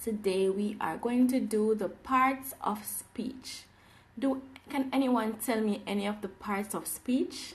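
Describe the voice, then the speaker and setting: Very slowly, a woman speaks in a fairly high, somewhat breathy voice with ordinary pitch variation. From Jamaica. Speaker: English teacher. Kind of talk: live online class. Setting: livestream. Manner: animated.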